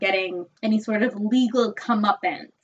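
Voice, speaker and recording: A woman with an American accent speaks in a normal speaking voice at a moderate pace, her fairly high pitch moving with ordinary variation. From upstate New York. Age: 20s. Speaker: podcast co-host. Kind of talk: casual chat.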